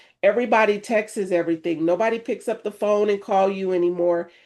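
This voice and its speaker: At a moderate pace comes an ordinary speaking voice. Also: woman. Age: 50s. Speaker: co-host and reverend. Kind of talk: casual chat.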